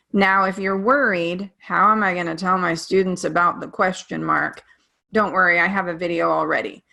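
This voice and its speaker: On a very clean recording with a silent background, a woman with a bright, sharp tone, medium pitch and vocal fry talks at a moderate pace with fairly even intonation. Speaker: teacher. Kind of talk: presentation.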